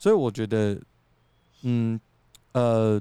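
With a Taiwanese accent, a man speaks at a fairly slow pace in a fairly low, dark, mellow voice, on a very clean recording with a silent background and a dry, close sound with no echo. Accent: Taiwanese Mandarin. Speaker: podcast co-host. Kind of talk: casual chat. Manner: animated.

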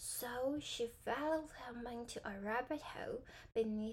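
At a very slow pace, a high-pitched woman speaks with ordinary pitch variation. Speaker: podcast host and English teacher. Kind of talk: bedtime storybook reading with commentary. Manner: halting.

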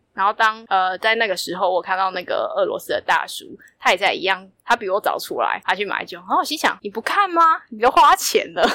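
A woman speaks at a fairly quick pace and a fairly high pitch, with very wide pitch swings and big swings in loudness. The sound is dry and close with no echo. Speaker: traveler. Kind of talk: casual interview.

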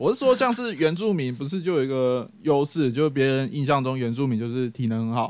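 A man talks with a Taiwanese accent and ordinary pitch variation. He hardly pauses at all. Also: fairly high pitch for a man, fairly quick pace. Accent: Taiwanese Mandarin. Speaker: podcast host. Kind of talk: casual chat. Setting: friend's home. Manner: animated.

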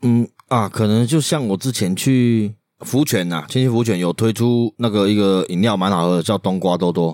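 A man with a plain, everyday voice, fairly low in pitch, at a moderate pace with ordinary pitch variation and very even loudness, in a very clean, dry, close recording with no echo and a silent background. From Taiwan, Changhua County. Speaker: podcast co-host. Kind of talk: casual chat.

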